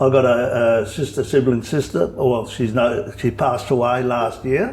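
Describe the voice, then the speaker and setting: A man with an Australian accent, medium in pitch, at a moderate pace with ordinary pitch variation. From Western Australia, Perth. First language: Italian. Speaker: local resident. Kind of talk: interview.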